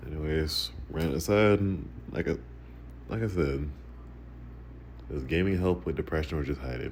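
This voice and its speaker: A man speaks at a moderate pace in a very deep, low pitch with vocal fry. His pitch varies in an ordinary way, and he takes long, frequent pauses. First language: Macedonian. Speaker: gaming vlogger. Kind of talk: casual monologue over gameplay. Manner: halting, repeats words.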